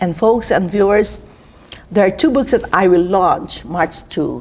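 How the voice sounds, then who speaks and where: Vocal fry runs through this woman's speech. Her pitch variation is ordinary. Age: 70s. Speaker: author and teacher. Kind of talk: interview.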